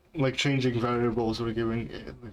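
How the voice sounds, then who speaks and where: A man with a non-native accent at a medium pitch and moderate pace, with monotone, flat intonation. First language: not English. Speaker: game developer streamer. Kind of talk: live stream chat while coding. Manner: halting, many fillers.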